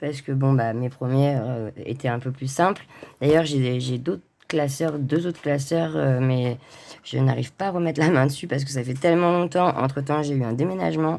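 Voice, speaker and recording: A woman's very deep, low voice, dark and mellow, with ordinary pitch variation at a moderate pace. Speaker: coloring hobbyist vlogger. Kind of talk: casual vlog. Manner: halting, many hesitations.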